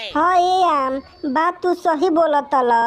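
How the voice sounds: This is a cartoonish character voice with an extremely high pitch. It moves along at a moderate pace.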